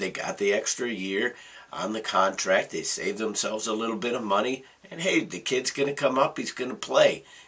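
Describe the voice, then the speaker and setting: A man keeps up a fairly quick pace, and noticeable background noise is present throughout. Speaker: sports vlogger. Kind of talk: rant. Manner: animated.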